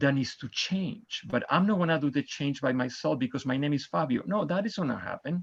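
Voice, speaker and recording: At a moderate pace, the speaker uses lively intonation with a Spanish accent over a quiet background. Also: man. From Argentina. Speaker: mayoral candidate. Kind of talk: candidate forum closing statement. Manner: impassioned.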